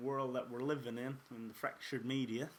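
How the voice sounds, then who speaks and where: A fairly quick delivery in an Irish accent. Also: man. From Ireland. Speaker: podcast host. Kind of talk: casual podcast monologue.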